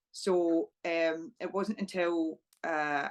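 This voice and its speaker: A woman with a Scottish accent, medium in pitch. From Scotland, small town. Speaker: professional wrestler. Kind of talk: interview.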